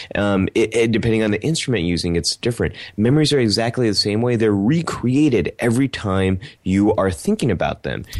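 Lively in intonation yet very even in loudness, a man with an American accent and a medium pitch has an unremarkable speaking voice. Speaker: podcast co-host. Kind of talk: casual chat.

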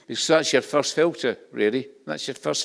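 Over a very clean recording with a silent background, a man speaks with a Scottish accent and vocal fry. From Scotland. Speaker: pastor. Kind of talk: sermon. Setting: church.

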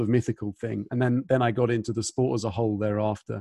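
Against a quiet background, a man with a British accent speaks at a medium pitch in a monotone, flat way. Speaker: podcast host. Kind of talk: casual interview chat.

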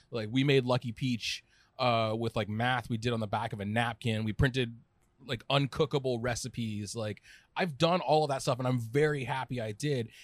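Recorded very cleanly against a silent background, a man with an American accent speaks at medium pitch with fairly even intonation. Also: moderate pace. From Southern California. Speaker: food writer and editor. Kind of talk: casual chat. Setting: small restaurant office.

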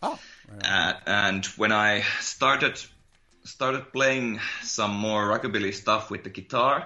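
With a Finnish accent, a man speaks at a fairly low pitch. His pace is fairly slow and his intonation fairly even. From Finland. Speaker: musician in a psychobilly band. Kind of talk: casual interview chat. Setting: video call.

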